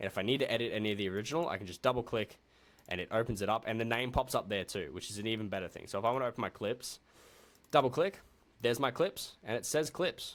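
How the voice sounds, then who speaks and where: Lively intonation comes at a very fast pace in an Australian accent. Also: man, very clean recording, silent background. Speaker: video editing tutor. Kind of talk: tutorial. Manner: casual.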